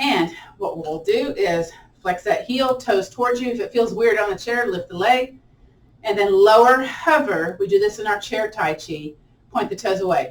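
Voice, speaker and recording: Over noticeable background noise, the speaker sounds animated, with lively intonation at a moderate pace. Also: woman. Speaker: yoga and tai chi instructor. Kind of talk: guided exercise class.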